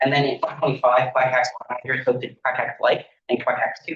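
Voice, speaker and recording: This man talks at a very fast pace. His pitch is medium. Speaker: student club president presenting a funding request. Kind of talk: presentation. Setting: student government meeting.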